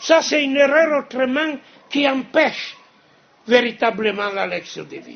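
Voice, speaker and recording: Speaking at a fairly slow pace with long, frequent pauses, a man with a non-native accent has an extremely high pitch, ordinary pitch variation and big swings in loudness. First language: Italian (speaking French). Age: 70s. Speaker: monastic prior and speaker. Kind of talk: lecture. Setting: cathedral with audience.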